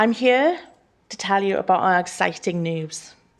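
The background stays quiet. A woman talks at a moderate speed. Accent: Welsh. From Wales. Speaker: small business owner. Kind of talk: public address to council. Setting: council chamber, live streamed.

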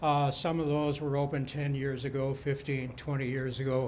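There is audible room echo around a man with a fairly high pitch. He speaks at a moderate pace in a monotone, flat way. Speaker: resident speaking at town hall. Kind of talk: public comment at town hall. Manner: loud, projecting; halting, repeated words.

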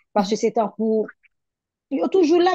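A woman with a plain, everyday voice talks at a fairly quick pace. Her medium pitch carries lively intonation. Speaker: petition campaigner. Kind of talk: political discussion.

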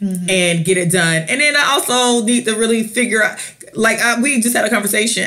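A woman with an American accent speaks in an animated tone with lively intonation, over noticeable background noise and audible room echo. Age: 30s. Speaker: podcast co-host. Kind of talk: casual chat.

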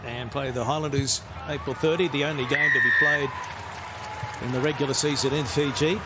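With crowd noise in the background, a man talks in an animated tone at a moderate pace. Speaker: sports commentator. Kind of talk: live rugby match commentary over highlights. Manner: animated, rising on tries.

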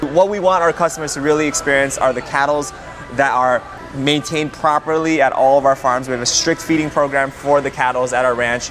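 Clear music plays behind a man talking very fast. His intonation stays fairly even. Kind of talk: guided tour talk. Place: cafe. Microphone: lapel.

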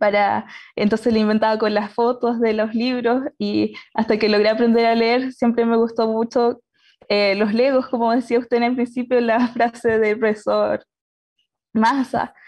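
Against a quiet background, a woman with a fairly high pitch talks at a fairly slow pace in a monotone, flat intonation at very even loudness. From Chile, Concepción; Chile. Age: 20s. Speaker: engineering student; panelist. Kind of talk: personal story talk. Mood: cheerful, smiling. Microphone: video call.

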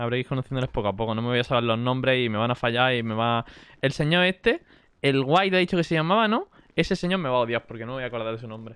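Here a man talks at a very fast pace with a medium pitch. His intonation is lively. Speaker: streamer playing roleplay game. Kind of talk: live gaming stream chat.

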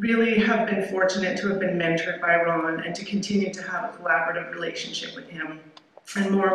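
A woman talks in a fairly low voice with fairly even intonation. Strong room echo and light background noise surround her. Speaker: keynote speaker. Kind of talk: lecture. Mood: warm, appreciative. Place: hall. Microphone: podium.

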